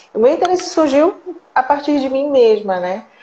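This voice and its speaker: A woman speaks with lively intonation. Noticeable background noise is present throughout. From Brazil, Recife (Pernambuco, Northeast). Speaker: psychologist and researcher. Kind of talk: interview in a live stream. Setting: online live stream.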